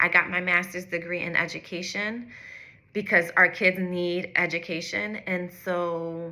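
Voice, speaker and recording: A woman talks at a fairly slow pace in a fairly low pitch. Her tone is bright and sharp, and her intonation monotone and flat. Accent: American. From US, North Philadelphia. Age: 30s. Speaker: executive coach. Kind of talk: direct-to-camera personal story.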